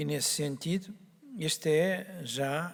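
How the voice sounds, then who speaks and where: A man speaks with ordinary pitch variation. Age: 60s. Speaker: doctor, organization founder. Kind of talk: opening speech. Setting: stage with audience. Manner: hesitant, with many fillers.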